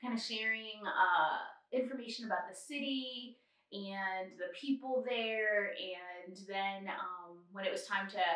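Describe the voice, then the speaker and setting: A woman's fairly high voice with fairly even intonation and audible room echo. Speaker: travel podcast co-host. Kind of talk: casual chat.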